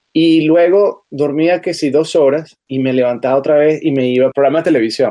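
Talking at a fairly quick pace, a man has a dark, mellow tone and ordinary pitch variation. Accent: Venezuelan. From Venezuela, Caracas. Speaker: journalist and TV presenter. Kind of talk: interview testimony.

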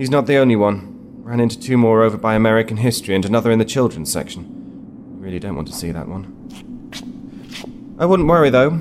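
The man's fairly quick speech comes with noticeable background noise. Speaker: actor playing a character. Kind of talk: scripted audio drama dialogue.

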